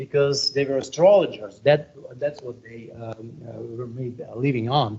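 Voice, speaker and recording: Speaking at a moderate pace with a Russian accent, a man uses a medium pitch and ordinary pitch variation. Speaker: astronomy professor. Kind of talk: lecture. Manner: halting, many fillers.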